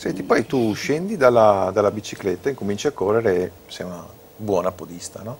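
An unremarkable speaking voice: a man with fairly low pitch and ordinary pitch variation talks at a fairly quick pace, with big swings in loudness and light background noise. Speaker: TV show host. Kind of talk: casual TV talk show. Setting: TV studio. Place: studio. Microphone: lapel.

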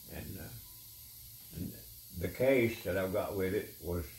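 Somewhat breathy, a man with an Appalachian accent talks amid light background noise and audible room echo. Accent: Appalachian Southern US. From East Tennessee (Unicoi County). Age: 80s+. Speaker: retired guitar player. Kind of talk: reminiscing conversation. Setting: at home. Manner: halting. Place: home room. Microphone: camera far.

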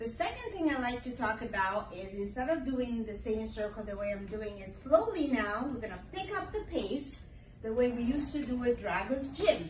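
A high-pitched woman talks at a moderate pace with big swings in loudness. Audible room echo and light background noise are present. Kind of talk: tutorial. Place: gym. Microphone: camera far.

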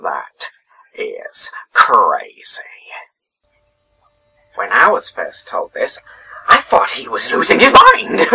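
A man puts on a raspy character voice, speaking at a very slow pace with long, frequent pauses. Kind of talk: dramatic villain monologue. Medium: role play. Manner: erratic, mocking, sudden shifts.

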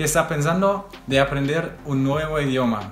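Over faint background music and audible room echo, a man talks with ordinary pitch variation. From Germany. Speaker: veterinary student and language learner; language learner vlogger. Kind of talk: vlog talk to camera. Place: home room.

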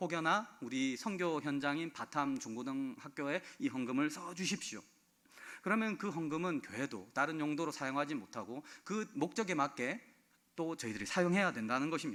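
On a very clean recording with a silent background, a man with a fairly high, bright, sharp voice speaks at a moderate pace with lively intonation. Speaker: pastor. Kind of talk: sermon.

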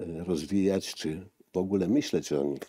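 At a fairly slow pace, a man with a very deep, low voice speaks over a quiet background, the sound dry without echo. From eastern Poland, Lublin region. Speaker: graphic artist and linocut printmaker. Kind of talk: casual interview.

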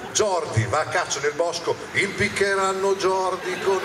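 A man's high-pitched voice against noticeable background noise. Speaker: comedian. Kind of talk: comedy stand-up routine. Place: stage. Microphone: handheld.

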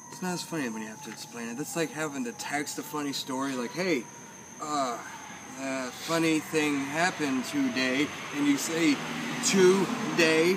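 At a moderate pace, a man talks in a fairly high voice with ordinary pitch variation and big swings in loudness, over noticeable background noise. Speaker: comedian. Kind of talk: casual chat. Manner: animated. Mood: relaxed, playful. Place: garden.

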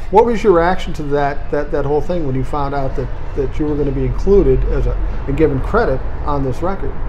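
The speaker, with an American accent, talks at a fairly quick pace with hardly any pauses. Noticeable background noise runs underneath. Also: man. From US Midwest, South Minneapolis. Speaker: interview show host. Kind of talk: casual interview. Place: cafe. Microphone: camera far.

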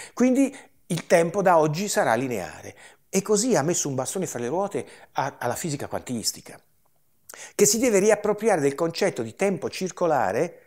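A high-pitched man at a moderate pace, with very wide pitch swings and long, frequent pauses, against a quiet background. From Liguria, La Spezia area; Liguria, Italy. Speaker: retired chemistry professor and UFO researcher; interviewee. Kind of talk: interview. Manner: hesitant, with many fillers. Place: home room. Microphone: lapel.

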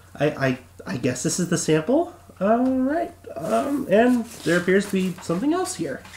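Over noticeable background noise, a man speaks with a high pitch and very wide pitch swings. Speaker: voice actor; podcast co-host. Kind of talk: casual talk to camera.

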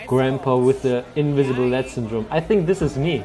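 Ordinary pitch variation carries the speech while crowd noise fills the background. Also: man. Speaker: reaction video host. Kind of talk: commentary. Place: office.

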